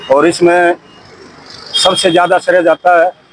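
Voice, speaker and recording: The sound is dry and close with no echo, and noticeable background noise runs underneath. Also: man. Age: 60s. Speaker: retired army soldier. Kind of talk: street interview.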